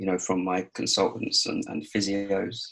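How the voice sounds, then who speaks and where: A man with a southern English accent talks at a fairly slow pace. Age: 20s. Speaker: adult with muscular dystrophy, interviewee. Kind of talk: interview. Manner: hesitant, many fillers.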